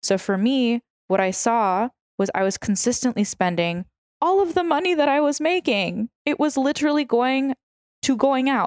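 In a New York accent, a woman speaks at a high pitch with very wide pitch swings, an animated tone and a moderate pace. Her loudness is very even, in a very clean recording with a silent background and a dry, close sound with no echo. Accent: sounds like New York. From San Francisco. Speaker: food creator and weight loss coach. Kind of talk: casual chat.

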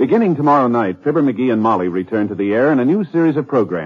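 Here is a man with an unremarkable speaking voice at medium pitch. His intonation is lively. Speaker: radio announcer. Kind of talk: 1950s radio announcer reading network promos and sponsor commercials. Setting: vintage radio broadcast. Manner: formal, polished, brisk, upbeat, announcer cadence.

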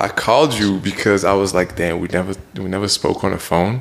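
Speaking at a fairly slow pace, a man uses a fairly low pitch amid noticeable background noise. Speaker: podcast co-host. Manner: casual, talkative.

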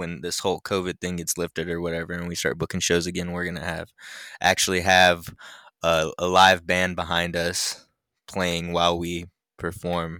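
In a very clean, dry and close recording with a silent background and no echo, a man with an American accent speaks in a very deep, low pitch, with a bright, sharp tone and monotone, flat intonation. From Idaho. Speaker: rapper and skater. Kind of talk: casual chat.

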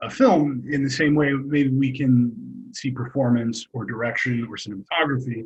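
A man talks fairly slowly in a normal speaking voice, fairly high in pitch with ordinary pitch variation. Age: 40s. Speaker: film writer. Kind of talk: casual chat.

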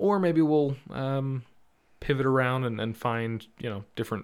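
A man talks at a moderate pace and medium pitch with ordinary pitch variation. The recording is very clean, the background silent. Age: 30s. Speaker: podcast host. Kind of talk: casual chat. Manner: halting.

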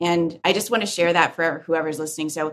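A woman talks in a plain, everyday voice at a fairly low pitch. Her pace is moderate. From born in Korea, raised in US. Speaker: real estate tech CEO. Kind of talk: podcast interview.

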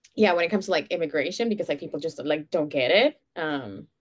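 Lively intonation and a fairly quick pace mark this speech in a Venezuelan accent. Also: woman. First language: Spanish. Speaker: podcaster. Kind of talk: casual interview. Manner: giggly.

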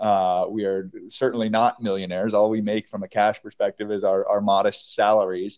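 Speaking with an American accent in a normal speaking voice, a man talks at a fairly quick pace and fairly low pitch, the sound dry and close with no echo. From US Northeast, Kingston, New York. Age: 30s. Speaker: beverage company co-founder. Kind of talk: interview.

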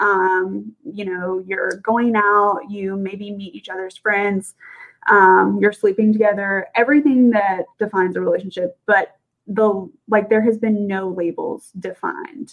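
A woman speaks in a normal speaking voice at medium pitch and a fairly slow pace. Her intonation stays fairly even while her loudness swings widely. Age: 20s. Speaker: podcast co-host. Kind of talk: casual chat.

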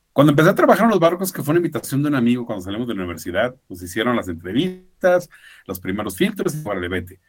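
Speaking at a very fast pace, a man with a medium pitch makes very wide pitch swings and big swings in loudness. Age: 50s. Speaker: former cruise ship worker. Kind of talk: interview.

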